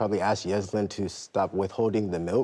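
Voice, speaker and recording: A soft-spoken man has a fairly low pitch and a dark, mellow tone. His intonation is fairly even against a quiet background. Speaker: plaintiff in a TV courtroom case. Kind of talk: courtroom testimony. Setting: TV courtroom.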